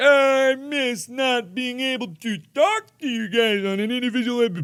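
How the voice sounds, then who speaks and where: Someone doing a put-on character voice speaks at a moderate pace in a whiny way, the tone whiny throughout. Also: man, extremely high pitch for a man. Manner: fake crying, whiny mocking.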